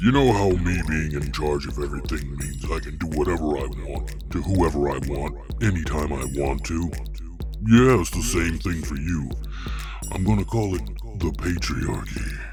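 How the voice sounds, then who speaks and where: Someone performs a put-on character voice at a moderate pace while loud music plays in the background. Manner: casual, joking.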